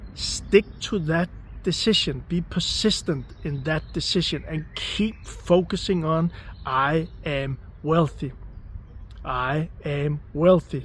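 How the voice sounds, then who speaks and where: Speaking at a very slow pace with a non-native accent, a man uses a fairly high pitch and ordinary pitch variation. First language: not English. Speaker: manifestation coach. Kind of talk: motivational talk. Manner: repetitive, emphatic.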